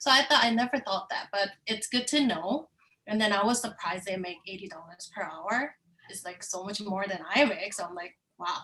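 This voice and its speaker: Her pitch medium and its variation ordinary, a woman with a Korean accent speaks with big swings in loudness. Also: moderate pace. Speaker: course participant. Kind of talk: online class discussion.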